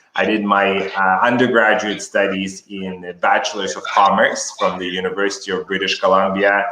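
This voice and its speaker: A man talks at a moderate pace with a fairly low pitch and ordinary pitch variation. Noticeable background noise runs beneath him. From Kazakhstan. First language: Russian. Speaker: educator and author. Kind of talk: interview.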